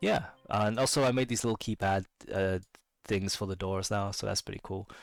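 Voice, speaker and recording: A man's fairly low-pitched voice with fairly even intonation, music in the background. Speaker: indie game developer. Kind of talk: casual devlog narration over gameplay. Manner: hesitant, many filler words.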